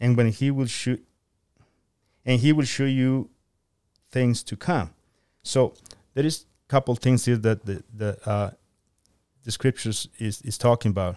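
A man with a Spanish accent, medium in pitch and dark, mellow in tone, with ordinary pitch variation, a fairly slow pace and long, frequent pauses, in a very clean recording with a silent background and a dry, close sound with no echo. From Guatemala. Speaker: church member. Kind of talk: Bible teaching discussion. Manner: halting, many fillers.

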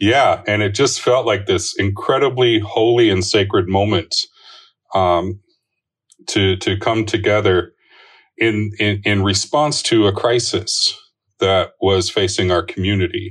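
At a fairly slow pace, the somewhat breathy voice keeps very even loudness and fairly even intonation. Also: man. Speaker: racial justice church leader. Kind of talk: panel discussion on current events.

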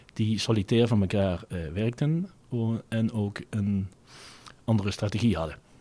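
A man with a Limburg accent speaks at a fairly slow pace, leaving long, frequent pauses. His fairly low voice has a dark, mellow tone and ordinary pitch variation. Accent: Limburg, soft g. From Netherlands, Venlo area (Limburg). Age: 50s. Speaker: retail company director. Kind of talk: interview.

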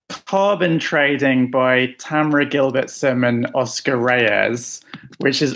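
With a London accent, a man at a medium pitch speaks at a very slow pace with very even loudness and ordinary pitch variation, amid noticeable background noise. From London, England. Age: 30s. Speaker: novelist. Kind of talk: interview.

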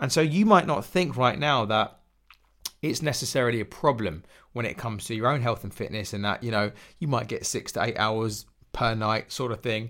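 A man with an English accent, medium pitch, ordinary pitch variation and a fairly quick pace. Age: 30s. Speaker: fitness coach and podcast host. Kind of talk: solo podcast monologue.

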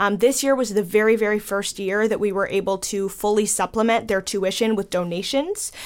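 Hardly pausing, a woman with an American accent speaks in a normal speaking voice at a medium pitch with fairly even intonation. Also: fairly quick pace. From Chicago. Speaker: theater educator. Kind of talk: radio interview.

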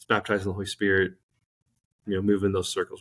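A man speaks with a Midwestern American accent. The recording is very clean, with a silent background. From Saint Louis, Missouri. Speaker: musician. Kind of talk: testimony.

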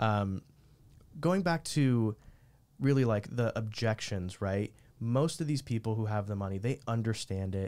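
In a very clean recording with a silent background, a man talks in an unremarkable speaking voice at medium pitch with ordinary pitch variation. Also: fairly slow pace. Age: 30s. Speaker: podcast host. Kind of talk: casual interview.

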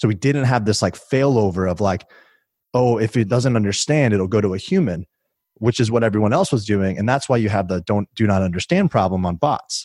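In an unremarkable speaking voice, a man with an American accent talks at a fairly quick pace and a fairly low pitch, with ordinary pitch variation, very even loudness and a dry, close sound with no echo. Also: very clean recording, silent background. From US Midwest, Illinois. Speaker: tech executive. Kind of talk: interview. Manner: casual.

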